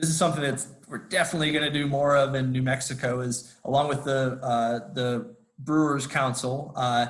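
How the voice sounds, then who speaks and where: Room echo is audible as a man with a fairly high pitch speaks with fairly even intonation. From US Midwest. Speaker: conservation nonprofit director. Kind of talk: presentation. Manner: fast; many fillers and restarts.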